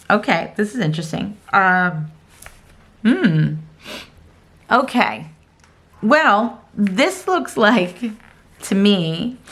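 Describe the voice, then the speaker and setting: The voice moves at a very slow pace with long, frequent pauses. Its intonation is lively, with vocal fry throughout. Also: woman, medium pitch for a woman. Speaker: tarot card reader. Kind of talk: pick-a-card tarot reading. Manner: casual, hesitant with fillers.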